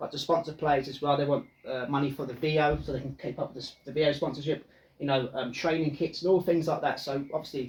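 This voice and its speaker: A man's fairly high, somewhat breathy voice at a very fast pace, in a flat monotone. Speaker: football podcast co-host. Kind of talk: casual chat.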